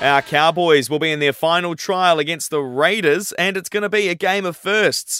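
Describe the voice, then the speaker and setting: With an Australian accent, a man with a high voice speaks at a moderate pace, with ordinary pitch variation and hardly any pauses, in a dry, close recording with no echo but noticeable background noise. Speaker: radio news reader. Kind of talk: radio news bulletin reading, brisk and formal, steady even delivery. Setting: studio. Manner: brisk; formal.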